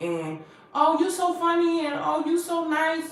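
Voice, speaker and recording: Her voice is loud, animated and high-pitched, and she speaks at a fairly slow pace. Noticeable background noise and audible room echo surround the woman. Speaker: motivational speaker, vlogger. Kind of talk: livestream monologue, life story. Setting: livestream.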